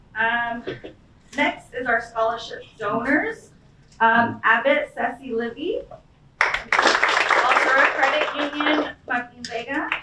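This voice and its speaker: Over noticeable background noise, a woman with a high pitch speaks at a very slow pace with ordinary pitch variation. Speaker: event emcee. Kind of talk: ceremony announcements. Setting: event with podium. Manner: halting.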